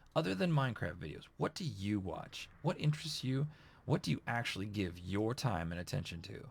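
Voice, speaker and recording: A somewhat breathy man speaks at a fairly quick pace, his pitch swinging very widely. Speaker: YouTuber, Minecraft channel host. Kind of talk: casual Q&A vlog. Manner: casual, filler-heavy with repetitions.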